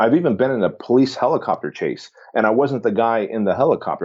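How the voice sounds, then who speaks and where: An ordinary speaking voice belongs to a man with an American accent. He talks at a fairly quick pace with ordinary pitch variation. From southern California, immigrant who arrived age six. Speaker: fitness business founder. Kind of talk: podcast interview.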